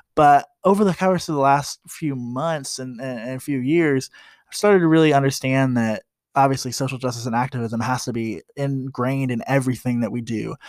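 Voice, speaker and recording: Very clean recording with a silent background: a man with an American accent, medium pitch, ordinary pitch variation, and a fairly quick pace. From US Midwest, Columbus, Ohio. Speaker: podcast host. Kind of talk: casual podcast monologue. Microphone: new microphone, gifted.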